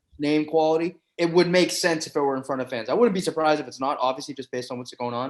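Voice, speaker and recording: A man with a Boston accent talks at a very fast pace in an animated tone. His pitch is fairly high, with ordinary pitch variation. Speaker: professional MMA fighter. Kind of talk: casual podcast interview. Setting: recorded in a campus room.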